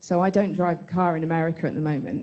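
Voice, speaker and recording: With a British accent, a woman speaks at a fairly low pitch. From Britain. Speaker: audience member. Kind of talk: audience question. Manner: halting.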